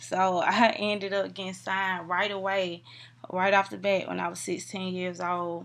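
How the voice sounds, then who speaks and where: A woman's voice at a medium pitch. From US South, Atlanta, Georgia. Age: 20s. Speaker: rapper. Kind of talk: interview.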